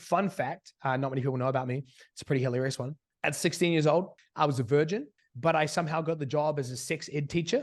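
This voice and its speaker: Against a quiet background, a man talks with an American accent. His pitch is fairly high, his pace fairly quick, and his pitch variation ordinary. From New Zealand. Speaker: online business coach. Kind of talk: interview.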